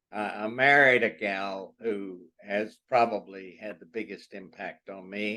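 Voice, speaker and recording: A man's bright, sharp tone at a fairly low pitch. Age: 80s+. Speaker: retired psychology professor. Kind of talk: Q&A answer in a lecture talk. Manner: reflective.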